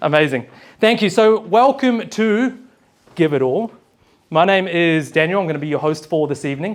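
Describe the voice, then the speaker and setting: Someone with a New Zealand accent speaks with lively intonation and long, frequent pauses. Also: man, high pitch for a man, moderate pace. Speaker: event host, personal leadership facilitator. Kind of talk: live event hosting speech. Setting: stage with live audience. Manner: animated.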